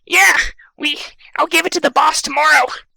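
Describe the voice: This put-on character voice sits high in pitch and moves at a fairly quick pace.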